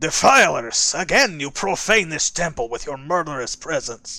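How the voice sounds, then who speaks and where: A man puts on a character voice with a Russian accent. His pitch is fairly high and his intonation lively. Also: moderate pace. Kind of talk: formal. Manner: accusing, indignant.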